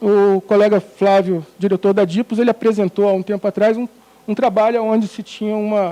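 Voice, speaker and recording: A high-pitched male voice at a moderate pace, monotone and flat, with a dry, close sound and no echo. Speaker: economic research director presenting survey results. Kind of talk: presentation of statistics. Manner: hesitant with many fillers.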